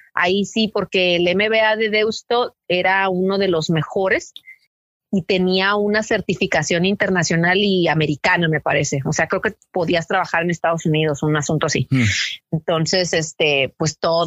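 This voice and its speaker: A woman speaks in a plain, everyday voice, fairly low in pitch with ordinary pitch variation and very even loudness. Her moderate pace comes through in a dry, close sound with no echo. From Mexico, Tijuana (US border). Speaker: journalist and podcaster. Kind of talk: interview. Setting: phone call.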